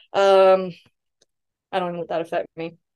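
The speaker is a woman pitched in the medium range. She talks very fast. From US South. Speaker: astrologer. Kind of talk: casual chat.

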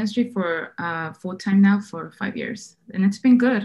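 A woman talks at a moderate pace with a somewhat breathy, medium-pitched voice. The background is quiet. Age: 30s. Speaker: wedding photographer. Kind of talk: casual chat.

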